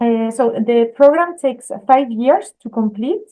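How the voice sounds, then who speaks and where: A woman speaks with a strong Spanish accent at a fairly slow pace. Her voice is fairly high with a dark, mellow tone. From Spain. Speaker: art school admissions staff. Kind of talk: webinar presentation. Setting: video call webinar. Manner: hesitant, many fillers.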